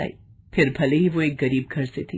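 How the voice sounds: A woman at a moderate pace, her slightly mellow tone carrying a slightly husky edge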